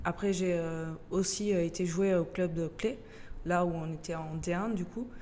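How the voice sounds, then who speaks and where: A woman with a slight Portuguese accent speaks in a dark, mellow tone at a fairly low pitch. Her pace is fairly slow and her intonation fairly even. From Portugal, moved to France at 13. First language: Portuguese (speaking French). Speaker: youth football coach, childcare center director. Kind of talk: interview. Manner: hesitant, many fillers.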